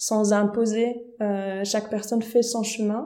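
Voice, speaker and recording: A woman speaks at a fairly slow pace with a slight Swiss German accent. Her fairly high voice stays monotone, with flat intonation. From German-speaking Switzerland. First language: Swiss German (speaking French). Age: young. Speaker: vocal coach and pastor. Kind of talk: casual interview.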